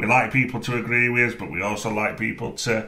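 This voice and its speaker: A man with a strong Sheffield accent, medium-pitched and talking at a fairly quick pace, with audible room echo around him. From northern England, Sheffield. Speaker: film podcast co-host. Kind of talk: casual chat. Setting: podcast recording.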